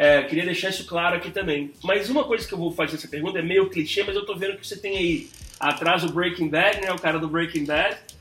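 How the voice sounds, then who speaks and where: A man with a high voice talks very fast, hardly pausing, with ordinary pitch variation over noticeable background noise. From New York, USA (Brazilian-born). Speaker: podcast host. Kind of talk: casual chat.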